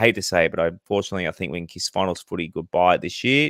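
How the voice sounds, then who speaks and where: Speaking very fast in a very deep, low voice, a man with an Australian accent is captured in a very clean recording with a silent background. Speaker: podcast host. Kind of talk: casual chat.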